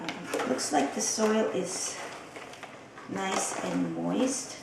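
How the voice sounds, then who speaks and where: Very slow speech from a woman, amid noticeable background noise and audible room echo. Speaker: vlogger. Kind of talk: casual vlog. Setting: at home. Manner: soft-spoken.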